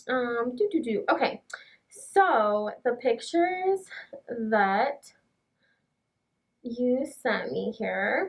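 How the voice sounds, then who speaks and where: A woman speaks very slowly in a high voice, her pitch swinging very widely. She leaves long pauses, and often. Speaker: brow artist. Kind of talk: client consultation. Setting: in-person session, wearing a mask. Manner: casual, filler-heavy.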